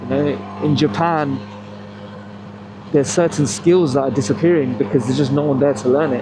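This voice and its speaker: Over noticeable background noise, the speaker moves at a fairly quick pace with ordinary pitch variation and long, frequent pauses. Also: man, medium pitch for a man. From England. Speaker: motorcycle vlogger. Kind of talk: casual monologue while riding.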